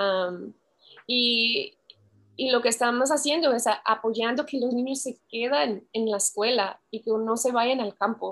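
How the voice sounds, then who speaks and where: A woman with an English accent speaks at a fairly slow pace in a fairly high pitch with ordinary pitch variation. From US Pacific Northwest. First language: English (speaking Spanish). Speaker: community worker and researcher. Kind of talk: interview. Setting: video call.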